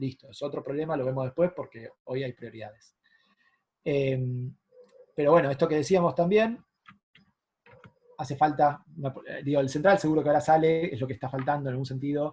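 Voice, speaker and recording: Speaking at a fairly quick pace with an Argentine accent, a man uses a fairly high pitch with ordinary pitch variation, sounds somewhat breathy, swings widely in loudness and takes long, frequent pauses. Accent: Argentine Spanish (Rioplatense). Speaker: economist. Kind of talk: lecture. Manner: fast.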